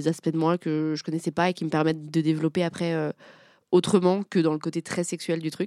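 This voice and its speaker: A woman's fairly low voice stays monotone and flat at a moderate pace. The recording is very clean and dry, with a close sound, no echo and a silent background. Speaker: podcast host and game creator. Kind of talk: casual chat. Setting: live recording with audience.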